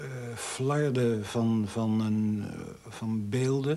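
A man with fairly even intonation. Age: 40s. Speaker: documentary interviewee. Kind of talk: interview. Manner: halting. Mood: reflective, hesitant recollection. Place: home room.

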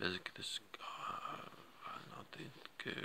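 This is a man's voice. There is light background noise. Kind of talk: casual vlog chat. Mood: distressed, emotional. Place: home room. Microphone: phone near.

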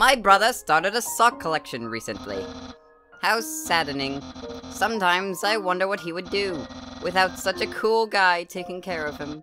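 A strained, put-on character voice speaks at a moderate pace and a middle pitch. Faint music plays in the background. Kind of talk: comic overacting of a game character. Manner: pompous, grandiose self-praise; loud, excitable, exclamatory.

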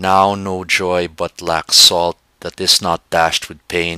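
A man talks at a very slow pace in a very deep, low voice with a bright, sharp tone. The sound is dry and close, with no echo. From Philippines. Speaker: poet. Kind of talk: poetry reading.

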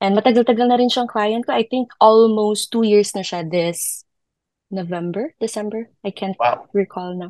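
The speech moves at a fairly slow pace with ordinary pitch variation. The sound is dry with no echo, and the background is quiet. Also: woman. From Philippines. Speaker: virtual assistant, former teacher; former teacher. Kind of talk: casual interview. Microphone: video call.

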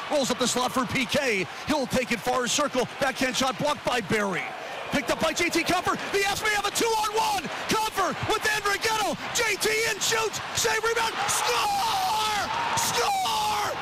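A man talks at a moderate pace in a raised, projected voice, the sound dry with no echo despite noticeable background noise. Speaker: radio play-by-play commentator. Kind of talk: live radio sports play-by-play call. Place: booth.

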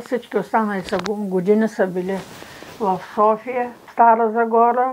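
Light background noise sits under a woman speaking at a fairly slow pace. Her intonation is monotone and flat. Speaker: retired literature teacher. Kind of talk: interview answer. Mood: calm, reminiscing. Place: home room. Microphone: lapel.

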